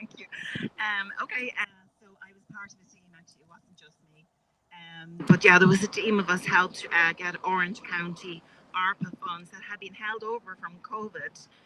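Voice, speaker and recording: With an Irish accent, a woman speaks at a medium pitch with fairly even intonation and big swings in loudness. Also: moderate pace. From Ireland. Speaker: health care advocate. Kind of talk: public speech. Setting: outdoor rally on capitol steps. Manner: halting, many fillers.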